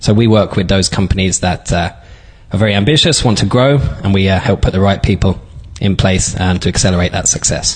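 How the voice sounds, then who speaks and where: Over noticeable background noise, a man with a London accent talks at a fairly quick pace in a fairly low pitch, with ordinary pitch variation and very even loudness. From London, England. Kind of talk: interview.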